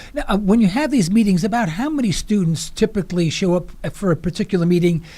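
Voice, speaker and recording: A man speaks very fast in a New York accent, his intonation lively. His tone is dark and mellow. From New York City (Harlem). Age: 70s. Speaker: radio host. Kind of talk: radio interview. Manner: halting.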